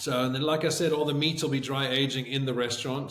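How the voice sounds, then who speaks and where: A man's flat, monotone voice at medium pitch and a fairly quick pace, with audible room echo and noticeable background noise. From South Africa, also Canada and England. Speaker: chef and restaurateur. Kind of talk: casual interview.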